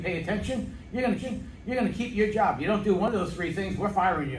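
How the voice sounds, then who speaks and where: Through noticeable background noise and audible room echo, a man talks at a high pitch with ordinary pitch variation. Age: 60s. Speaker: middle school math teacher. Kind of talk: interview.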